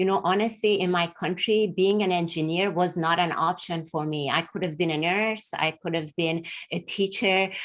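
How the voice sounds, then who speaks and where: In a very clean recording with a silent background, a woman with a Middle Eastern accent talks at a moderate pace, her fairly low pitch carried on fairly even intonation. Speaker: engineer, panelist. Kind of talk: panel discussion.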